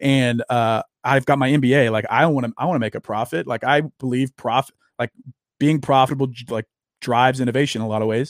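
A man speaks very fast with a Southern US accent. The sound is dry and close, with no echo. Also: medium pitch for a man, fairly even intonation, very clean recording, silent background. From US South, Louisiana. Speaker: social media personality and author. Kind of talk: casual interview chat.

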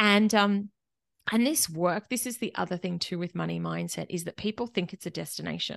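A woman speaks with an Australian accent at a medium pitch and ordinary pitch variation. The sound is dry and close with no echo, over a quiet background. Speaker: money mentor and accountant. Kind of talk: interview conversation. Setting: remote interview across countries.

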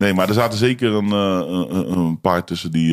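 Lively intonation runs through speech delivered at a moderate pace. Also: man. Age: 20s. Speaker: YouTuber and rapper. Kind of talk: casual chat. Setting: studio.

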